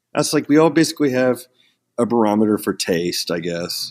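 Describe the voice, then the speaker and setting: A man with an American accent and an unremarkable speaking voice talks at a fairly quick pace with lively intonation. The recording is very clean, with a silent background. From Oklahoma, Ponca City. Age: 30s. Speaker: metal band vocalist. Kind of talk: casual interview chat.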